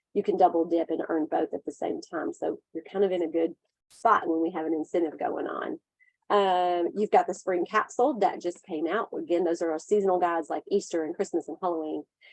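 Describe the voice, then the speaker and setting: A woman's fairly low voice with fairly even intonation at a fairly quick pace, the sound dry and close with no echo. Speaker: direct sales team leader. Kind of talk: casual training call. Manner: fast.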